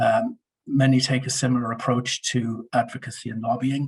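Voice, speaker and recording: Somewhat breathy, this man speaks at a medium pitch. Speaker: media and communications consultant. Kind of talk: webinar presentation. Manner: hesitant, many fillers.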